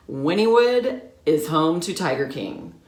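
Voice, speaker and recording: A woman's voice swings very widely in pitch, with audible room echo around it. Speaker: realtor. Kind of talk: casual vlog talk to camera.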